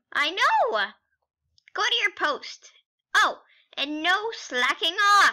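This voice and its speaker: Using a put-on character voice at an extremely high pitch, a woman speaks very slowly with long, frequent pauses. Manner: excitable, booming, proud.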